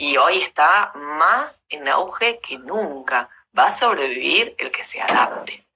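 Speaking very slowly in an Argentine accent, a woman uses a very deep, low pitch with very wide pitch swings. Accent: Rioplatense Argentine Spanish. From Argentina, Rosario. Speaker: motivational speaker and former lawyer. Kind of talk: casual interview.

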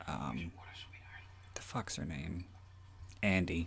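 A man speaks at a very slow pace, his very deep, low voice carrying vocal fry. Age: 30s. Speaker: podcast host and author. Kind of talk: solo movie commentary. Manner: rambling with frequent fillers.

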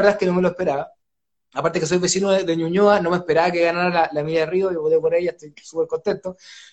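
A man speaks very fast with a Chilean accent. His pitch is high. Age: 30s. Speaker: writer and oral storyteller. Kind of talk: live online book launch interview. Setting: at home.

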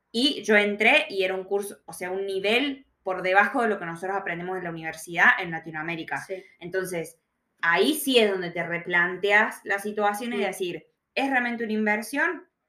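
Lively intonation and a medium pitch mark this woman's moderate-paced speech with an Argentine accent. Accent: Argentine Spanish (Rioplatense). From Argentina. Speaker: podcast host. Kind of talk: tutorial; casual interview chat. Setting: in person, audio only.

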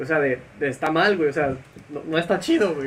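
Noticeable background noise sits behind a man with a Mexican accent, a fairly high pitch and ordinary pitch variation. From Mexico. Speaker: podcast co-host. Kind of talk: casual chat.

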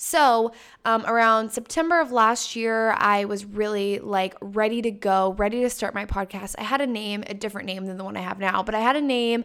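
With hardly any pauses, a woman talks at a moderate pace in a fairly high voice with ordinary pitch variation, on a very clean recording with a silent background. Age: 20s. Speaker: podcast host and college student. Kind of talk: casual solo monologue. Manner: casual, filler-heavy.

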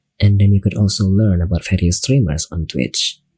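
A somewhat breathy man with an Indonesian accent, fairly low pitch and a moderate pace. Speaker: online radio host and streamer. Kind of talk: casual bilingual talk show chat. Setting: live stream on Twitch.

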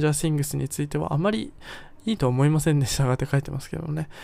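This very clean recording with a silent background features a man at a fairly high pitch. He talks at a very fast pace with ordinary pitch variation. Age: 20s. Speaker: podcast host. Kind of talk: solo podcast, partly reading from own article. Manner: relaxed, frequent fillers.

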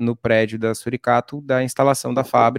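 A man's medium-pitched, normal speaking voice, with a dry, close sound with no echo, in a very clean recording with a silent background. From Rio Grande do Sul, Brazil (coastal town, Torres). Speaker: craft brewer. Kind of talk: interview.

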